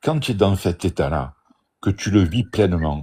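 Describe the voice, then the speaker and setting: Here a man speaks at a very deep, low pitch with a dark, mellow tone and a somewhat breathy quality. His intonation is lively and his pace moderate. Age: 60s. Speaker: out-of-body experience speaker. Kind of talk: live stream discussion. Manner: animated.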